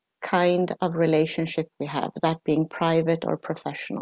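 A woman's fairly low, dark, mellow voice at a moderate pace, dry and close with no echo over a quiet background. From Sweden, Italian parents. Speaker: knowledge management specialist. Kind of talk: interview conversation.

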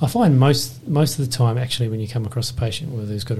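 A man with an Australian accent talks at a very fast pace over noticeable background noise. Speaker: anaesthetist podcast host. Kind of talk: casual professional discussion.

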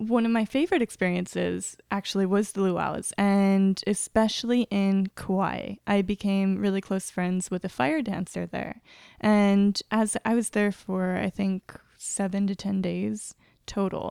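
A woman with an American accent, her tone dark and mellow, at medium pitch and a fairly slow pace with fairly even intonation, in a dry, close sound with no echo and a very clean recording with a silent background. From Nebraska, US Midwest. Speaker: travel agent. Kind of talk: casual interview.

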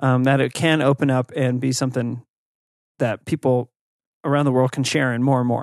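Long, frequent pauses break up speech of very even loudness, recorded dry and close with no echo against a quiet background. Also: man, medium pitch for a man, fairly quick pace. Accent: American. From United States. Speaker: podcast co-host. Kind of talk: casual chat. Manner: animated, laughs often.

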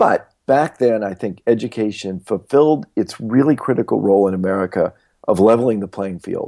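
Here a man talks at a fairly quick pace and medium pitch, with a dark, mellow tone and ordinary pitch variation. The recording is very clean with a silent background and a dry, close sound with no echo. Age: 60s. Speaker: venture capitalist and education author. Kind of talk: interview.

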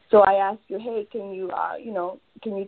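With a Spanish accent, a woman talks at a medium pitch. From Peru. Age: 30s. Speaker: radiologic technology supervisor and online marketer. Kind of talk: casual interview. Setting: phone call.

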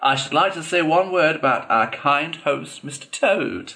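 A man's put-on character voice, fairly high-pitched and squeaky, with a bright, sharp tone, vocal fry and lively intonation. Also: fairly slow pace.

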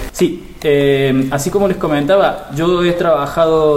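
This man has an Argentine accent. Room echo is audible, and there is noticeable background noise. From Argentina. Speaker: digital marketing expert. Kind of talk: interview. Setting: at a live marketing conference.

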